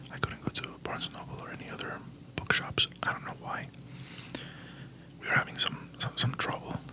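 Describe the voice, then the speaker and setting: The speaker is whispering. There is noticeable background noise. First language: Spanish. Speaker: ASMR creator. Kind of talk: ASMR book haul. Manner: halting.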